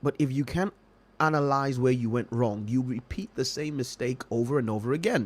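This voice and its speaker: Someone with a non-native accent talks at a fairly quick pace with ordinary pitch variation. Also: man, medium pitch for a man. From Nigeria, Lagos. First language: not English. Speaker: trading educator. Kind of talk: livestream talk.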